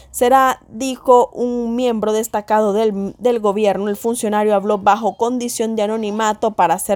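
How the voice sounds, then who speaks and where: A woman talks with a plain, everyday voice at a fairly high pitch and a moderate pace. Her intonation is fairly even, with hardly any pauses. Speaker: news presenter. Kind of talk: news reading. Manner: formal.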